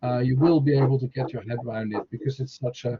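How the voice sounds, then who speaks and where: At a fairly quick pace, a man with a Dutch accent talks at a medium pitch, sounding somewhat breathy. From Netherlands. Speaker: university lecturer. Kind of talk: online information session. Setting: video call.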